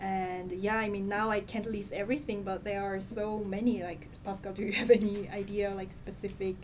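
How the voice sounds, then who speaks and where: Amid noticeable background noise and audible room echo, a woman with a Korean accent and a medium pitch talks at a moderate pace with hardly any pauses, monotone, flat intonation and big swings in loudness. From South Korea. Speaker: nonprofit communications manager. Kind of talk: interview.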